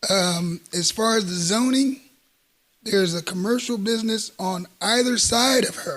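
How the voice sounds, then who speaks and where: A man's high-pitched voice with ordinary pitch variation, at a fairly slow pace. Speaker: HOA president speaking at public comment. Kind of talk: public comment at council meeting. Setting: city council meeting. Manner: hesitant, many fillers.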